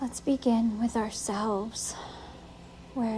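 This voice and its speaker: Over music in the background, a woman speaks very slowly in a soothing, calm tone. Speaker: podcast host and meditation guide. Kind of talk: guided meditation. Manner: slow, soothing, calm; gentle, instructive.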